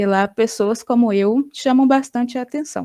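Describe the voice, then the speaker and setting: A woman with a Brazilian accent speaks in a dark, mellow tone with fairly even intonation, the sound dry and close with no echo on a very clean recording with a silent background. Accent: Brazilian Portuguese accent noticed abroad. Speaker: graduate student researcher. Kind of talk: academic conference presentation.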